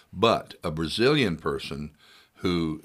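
A man with a Texan accent on a very clean recording with a silent background. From Texas, Hill County. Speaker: singer-songwriter. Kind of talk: casual chat. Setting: studio. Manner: halting.

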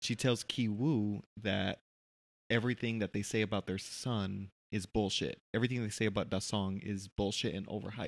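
A man with an American accent has an ordinary speaking voice, a fairly low pitch, and a moderate pace. The sound is dry and close with no echo, in a very clean recording with a silent background. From United States. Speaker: podcast co-host, film reviewer. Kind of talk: casual chat.

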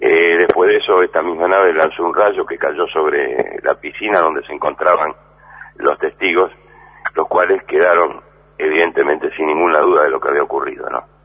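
Noticeable background noise is present as a male speaker keeps a moderate pace. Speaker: radio host. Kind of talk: radio show closing remarks. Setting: radio.

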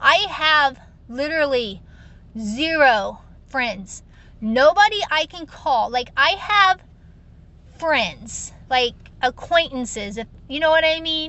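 A woman's high-pitched voice with an American accent, very slow, with long, frequent pauses, lively intonation and big swings in loudness. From Ohio, US Midwest. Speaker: podcast host, network marketer. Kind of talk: personal monologue. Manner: frequent filler words (um).

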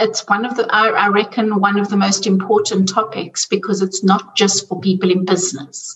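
Speaking in a South African accent at a moderate pace, a woman keeps a medium pitch and fairly even intonation with hardly any pauses. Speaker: money coach. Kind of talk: interview.

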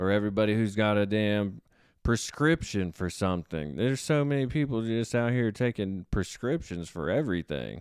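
An unremarkable speaking voice from a man, fairly low in pitch, on a very clean recording with a silent background. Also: lively intonation, moderate pace, very even loudness. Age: 20s. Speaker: podcast host. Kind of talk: casual solo monologue.

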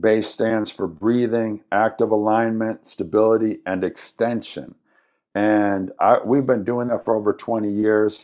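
Speaking at a fairly slow pace, a man holds a fairly low pitch with monotone, flat intonation. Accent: American. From US Midwest, Madison, Wisconsin. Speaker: fitness trainer and gym founder. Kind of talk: interview.

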